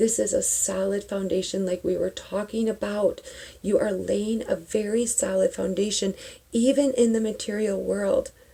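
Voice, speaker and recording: A woman's whisper at a fairly slow pace. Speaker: tarot reader and spiritual vlogger. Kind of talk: tarot reading. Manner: whispering; animated.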